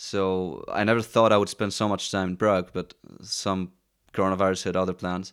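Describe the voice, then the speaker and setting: In a Greek accent, a man speaks at a moderate pace with monotone, flat intonation and a very deep, low pitch. The recording is very clean, with a silent background. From Greece, Athens. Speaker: musician. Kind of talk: casual chat. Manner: halting.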